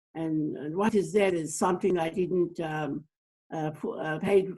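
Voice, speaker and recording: A woman speaks at a fairly slow pace, her pitch fairly low. Her tone is dark and mellow, with ordinary pitch variation. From Torres Strait Islands, Australia. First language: Torres Strait Islander language. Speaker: community elder and counsellor. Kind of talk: interview conversation. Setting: video call. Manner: halting, many fillers.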